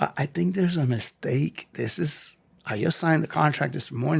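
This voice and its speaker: Speaking at a fairly quick pace, a man with a fairly high pitch sounds animated, with ordinary pitch variation and some vocal fry. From New York (Lower East Side). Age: 60s. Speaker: physical education teacher. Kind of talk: interview. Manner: animated storytelling.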